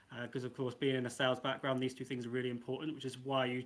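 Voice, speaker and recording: A man is talking with an English accent. His pitch is medium. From England, Coventry. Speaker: NFT project co-founder. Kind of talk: casual online AMA.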